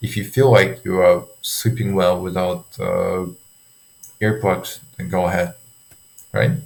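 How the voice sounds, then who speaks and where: Very slow speech in a non-native accent, with long, frequent pauses and ordinary pitch variation. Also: man, fairly low pitch for a man. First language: not English. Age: 20s. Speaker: sleep coach for students. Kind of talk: tutorial. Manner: halting, many fillers. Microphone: poor audio quality.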